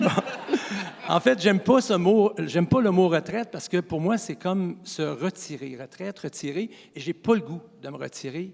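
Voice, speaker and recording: Amid noticeable background noise, a man with a high pitch speaks at a moderate pace with lively intonation. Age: 60s. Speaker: college physical education teacher. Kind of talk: interview.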